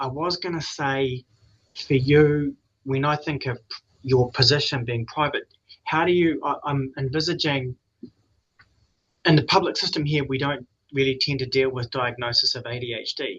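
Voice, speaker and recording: Speaking with a New Zealand accent, a man has a fairly high pitch and fairly even intonation. He keeps a moderate pace, broken by long, frequent pauses. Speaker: addiction trainee clinician. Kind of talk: question in seminar.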